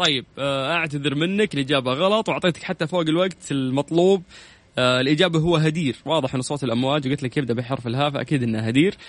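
With hardly any pauses, a man speaks at a fairly high pitch. His pitch variation is ordinary. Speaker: radio quiz show host. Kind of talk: radio call-in quiz show. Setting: radio studio. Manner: animated.

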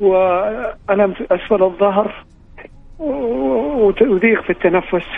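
This man's voice is high in pitch. His pitch varies in an ordinary way. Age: 60s. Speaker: caller seeking charity help. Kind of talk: phone-in appeal. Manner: halting.

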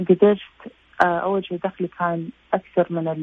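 Her pitch is fairly low and her intonation fairly even. Noticeable background noise runs behind this woman. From Saudi Arabia, Jeddah. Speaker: visual effects artist. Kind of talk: interview.

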